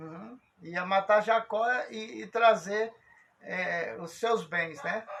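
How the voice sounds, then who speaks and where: This man talks very slowly in a high voice, his loudness swinging widely. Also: ordinary pitch variation. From Brazil. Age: 60s. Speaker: religious program host. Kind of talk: casual religious discussion. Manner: halting.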